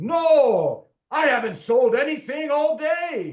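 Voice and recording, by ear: Very slowly and at a high pitch, the speaker performs a put-on character voice with a Scottish accent.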